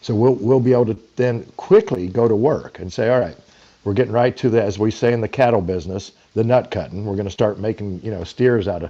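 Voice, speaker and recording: Using a dark, mellow tone in a Texan accent, a man speaks at a moderate pace with ordinary pitch variation. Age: 60s. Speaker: political candidate, military veteran. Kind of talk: interview.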